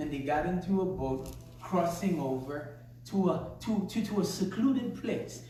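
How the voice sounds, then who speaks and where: Amid noticeable background noise and audible room echo, a man speaks with a high pitch and lively intonation at a moderate pace. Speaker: pastor. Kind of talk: sermon.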